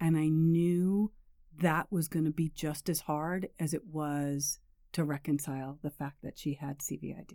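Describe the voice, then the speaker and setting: A woman with a New York accent speaks fairly slowly in a very deep, low pitch and a dark, mellow tone, her intonation fairly even but her loudness swinging widely. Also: very clean recording, silent background. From New York suburbs. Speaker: parent caregiver and patient advocate. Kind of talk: casual interview.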